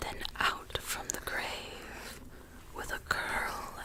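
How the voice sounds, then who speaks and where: A woman is whispering, with noticeable background noise around her. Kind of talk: storybook reading. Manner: soft-spoken.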